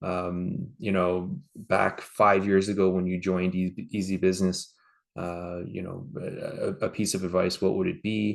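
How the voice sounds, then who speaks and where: A man with a Canadian accent speaks in a very deep, low pitch with monotone, flat intonation against a quiet background. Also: fairly slow pace. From Canada. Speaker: franchise partner, business owner. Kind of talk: interview.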